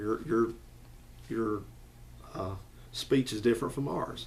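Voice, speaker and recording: With a strong Southern US accent, a man speaks at a medium pitch. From US South, Alabama (Madison/Huntsville area). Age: 40s. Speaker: YouTuber. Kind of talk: casual commentary vlog.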